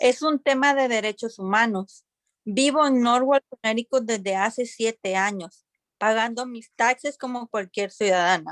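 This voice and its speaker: A woman speaks at a moderate pace with a fairly high pitch and ordinary pitch variation. The sound is dry and close, with no echo. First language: Spanish. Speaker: public hearing witness. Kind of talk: testimony.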